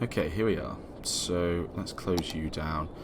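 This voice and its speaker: A man with a British accent speaks in a very deep, low voice, with audible echo from the room. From UK. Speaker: gaming youtuber. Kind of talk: gameplay commentary. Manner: casual, with many fillers (um, like).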